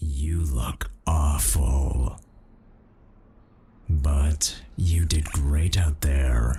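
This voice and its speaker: A soft-spoken man puts on a character voice, very deep and low, with fairly even intonation. He talks at a very slow pace, with long, frequent pauses. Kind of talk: ASMR comfort roleplay. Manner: toned-down gruff, soft and comforting.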